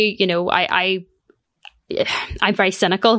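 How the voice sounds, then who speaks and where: This voice has fairly even intonation and a Belfast accent. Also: woman. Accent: Belfast Northern Irish. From Northern Ireland, East Belfast. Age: 30s. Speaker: political commentator and lawyer. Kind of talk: interview. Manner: halting, many fillers.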